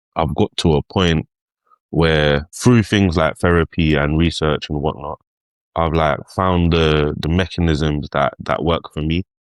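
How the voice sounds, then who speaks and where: A man's very deep, low voice at a fairly slow pace, fairly even in intonation, with a dry, close sound and no echo. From East London, England. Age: 30s. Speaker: rapper. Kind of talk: podcast interview. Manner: casual, many fillers.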